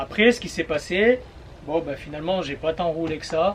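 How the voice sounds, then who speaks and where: Noticeable background noise sits behind this man's voice. He speaks at a fairly high pitch with ordinary pitch variation. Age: 30s. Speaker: vlogger. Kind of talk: vlog monologue. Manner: hesitant with many fillers; casual.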